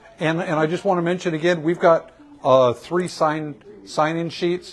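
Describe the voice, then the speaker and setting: There is noticeable background noise as a man speaks in a fairly high pitch. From Virginia (Richmond). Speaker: building owner and shop owner. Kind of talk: guided building tour. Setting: inside an old building, in-person tour group.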